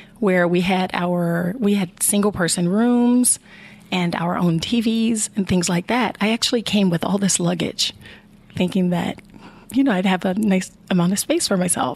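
An unremarkable speaking voice from a woman with an American accent, medium pitch, ordinary pitch variation, a moderate pace and very even loudness. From Chicago, Illinois. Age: 50s. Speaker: Navy veteran and veterans advocate. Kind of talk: interview.

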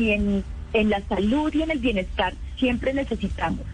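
Audible room echo and noticeable background noise around a woman's voice. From Colombia, Valle del Cauca. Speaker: actress and entrepreneur. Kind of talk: radio interview. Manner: animated.

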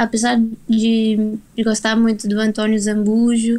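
A woman's fairly high voice in a monotone, flat intonation. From Brazil. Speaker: singer-songwriter. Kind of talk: radio interview.

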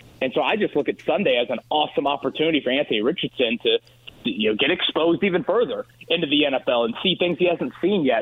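Over noticeable background noise, a man with a fairly high pitch speaks at a very fast pace, his intonation lively and his loudness very even. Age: 30s. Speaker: sports radio host. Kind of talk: phone-in sports talk.

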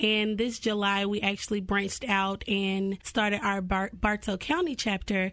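The background is quiet as a woman talks. Her pitch sits in the medium range and her pace is moderate. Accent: Southern US. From US South, Cartersville, Georgia. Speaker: nonprofit founder. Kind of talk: radio interview.

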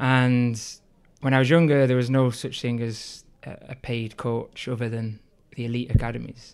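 A man with a Liverpool accent talks in a monotone, flat intonation. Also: medium pitch for a man, moderate pace. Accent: Liverpool (Scouse) English. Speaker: youth soccer coach. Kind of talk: casual interview.

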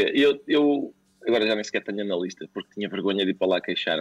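A man speaks with a dry, close sound and no echo. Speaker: comedian. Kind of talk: interview.

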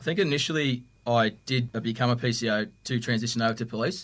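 On a very clean recording with a silent background, a man with an Australian accent speaks at a medium pitch. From Victoria, Australia. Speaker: police custody officer. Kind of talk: podcast interview.

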